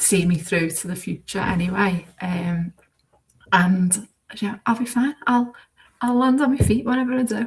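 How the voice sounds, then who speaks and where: At a moderate pace, a woman with a Liverpool accent talks in a somewhat breathy voice of medium pitch and ordinary pitch variation. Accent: Scouse. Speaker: former teacher turned bookkeeper. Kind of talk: interview.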